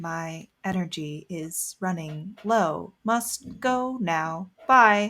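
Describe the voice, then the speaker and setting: Using a put-on character voice, a woman speaks at a medium pitch and a very slow pace with hardly any pauses. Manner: very slow, drawn out.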